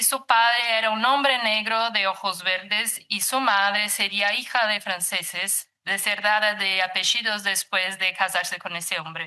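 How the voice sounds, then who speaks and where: With a Brazilian accent, a woman speaks at a medium pitch and a fairly slow pace. Her tone is bright and sharp. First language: Portuguese (speaking Spanish). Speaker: psychologist and researcher. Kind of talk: lecture. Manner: reading aloud, halting.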